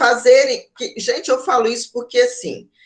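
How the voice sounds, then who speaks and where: A woman is talking here. Her pace is fairly slow. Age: 40s. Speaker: university lecturer in education. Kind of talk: online lecture. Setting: online class. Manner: halting, many fillers.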